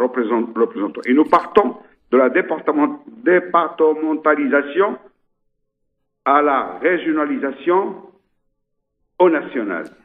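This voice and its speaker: A man talks at a very slow pace. His pitch is fairly high, and his intonation is lively. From Ceuta, North Africa (Spanish enclave). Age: 70s. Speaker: mosque rector. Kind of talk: radio interview. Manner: halting, many repetitions.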